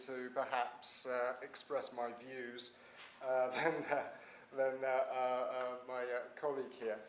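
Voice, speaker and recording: Someone with a British accent speaks at a fairly slow pace against noticeable background noise. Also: man. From Britain. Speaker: transatlantic studies expert. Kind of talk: panel talk. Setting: university panel with audience, standing. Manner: hesitant, many fillers.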